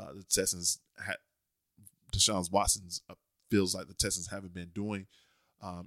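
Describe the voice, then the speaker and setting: A man with a very deep, low pitch and a bright, sharp tone talks fairly quickly in a flat monotone. The sound is dry and close with no echo, in a very clean recording with a silent background. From Leesburg, Florida. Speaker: podcast co-host. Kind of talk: casual chat.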